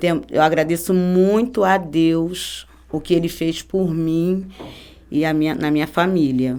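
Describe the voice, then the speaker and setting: She has a dark, mellow tone and a fairly low pitch with ordinary variation. The woman speaks at a fairly slow pace. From Rio de Janeiro, Brazil. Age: 50s. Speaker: church member giving testimony. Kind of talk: testimony.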